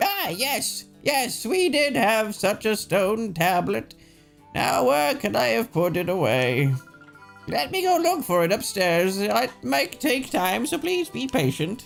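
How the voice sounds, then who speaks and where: A man's high-pitched, put-on character voice at a fairly slow pace, with faint music in the background. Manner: polite, patient, reassuring.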